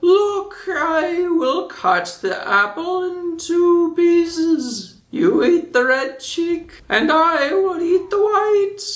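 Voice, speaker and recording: A put-on character voice at an extremely high pitch moves at a very slow pace with hardly any pauses. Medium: read story.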